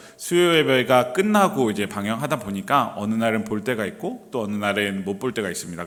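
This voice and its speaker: With audible room echo around him, a man of medium pitch talks at a moderate pace with lively intonation. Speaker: pastor. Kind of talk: sermon. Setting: church. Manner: hesitant, many fillers.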